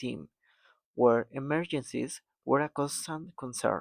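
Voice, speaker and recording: A man with a non-native accent talks at a fairly slow pace, at medium pitch with ordinary pitch variation. The recording is very clean with a silent background, and the sound is dry and close with no echo. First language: not English. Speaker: mechatronics engineer vlogger. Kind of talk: casual vlog monologue. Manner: occasional hesitations and self-corrections.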